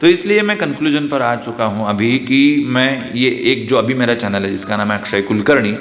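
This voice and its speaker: A man with a Marathi accent talks at a moderate pace, medium pitch and lively intonation. Audible room echo and noticeable background noise are present. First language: Marathi (speaking Hindi). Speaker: YouTuber. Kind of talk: vlog monologue. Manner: hesitant, with fillers.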